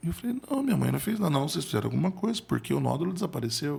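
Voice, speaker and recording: There is vocal fry in this man's fairly high voice. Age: 40s. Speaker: motivational speaker and accountant. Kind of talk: podcast interview storytelling. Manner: halting, repeats words.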